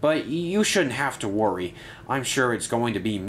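The text is read aloud plainly, with lively intonation.

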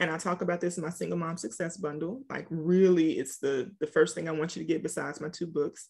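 In a quiet background, a woman with a fairly low voice speaks at a fairly quick pace. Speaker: author and single-mom coach; single-mom coach. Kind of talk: casual interview. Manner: animated. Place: home room. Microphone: video call.

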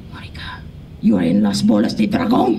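A raspy, put-on character voice is performed in a Spanish accent. It moves at a fairly quick pace over light background noise.

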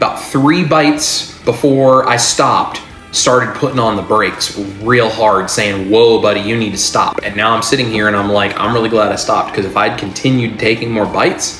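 Clear music sits behind the voice. The words come at a moderate pace. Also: man, ordinary pitch variation. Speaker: diet vlogger. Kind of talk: casual vlog chat. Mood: earnest, animated. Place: kitchen.

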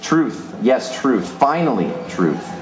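A man in an American accent, with audible room echo and light background noise. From Pennsylvania, US. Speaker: poet. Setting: stage with audience at a live reading. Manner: animated, playful and self-amused, breaking into laughter mid-poem. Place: stage.

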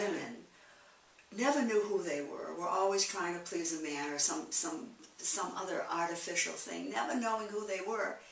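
At a medium pitch, a woman talks at a moderate pace with lively intonation, with audible room echo and light background noise. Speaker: interviewee. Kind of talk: interview answer. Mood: candid, rueful, emotional. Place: home room. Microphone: camera far.

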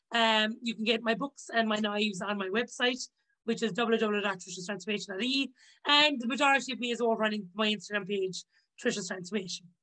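A woman with a Limerick accent talks at a fairly quick pace and a fairly high pitch. Her pitch varies in an ordinary way, against a quiet background. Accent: Irish (Limerick). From Ireland, County Limerick; Ireland. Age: 30s. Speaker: chef and author; podcast guest. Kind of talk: casual interview chat. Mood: animated, upbeat. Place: home room.

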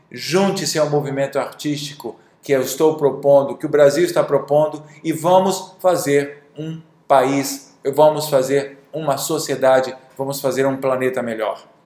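Audible room echo carries a man's fairly high voice as he speaks fairly slowly with fairly even intonation. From Brazil. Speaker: drawing teacher and artist; drawing teacher. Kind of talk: video monologue. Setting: studio. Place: studio. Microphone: webcam.

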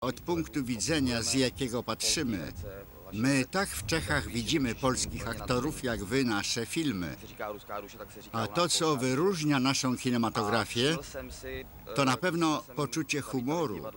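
A man at medium pitch with lively intonation, a fairly slow pace, and noticeable background noise. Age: old. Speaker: voice-over reader. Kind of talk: voice-over translation of interview.

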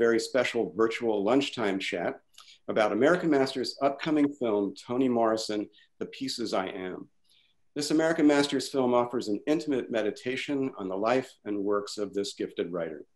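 Someone talks at a fairly quick pace against a quiet background. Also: man. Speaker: event host. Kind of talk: event introduction. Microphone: webcam.

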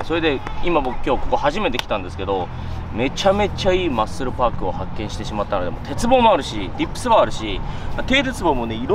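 A man talks at a very fast pace with hardly any pauses and very wide pitch swings. The sound is dry with no echo, though background noise is noticeable. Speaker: fitness vlogger. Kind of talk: casual vlog chat. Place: beach.

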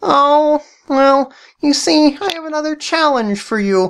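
A woman's high-pitched, put-on character voice with lively intonation at a fairly slow pace

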